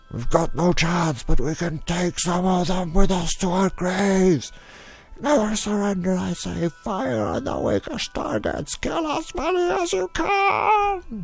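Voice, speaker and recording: Over clear background music, a man puts on a character voice, pitched high for a man and delivered at a fairly slow pace. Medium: machinima.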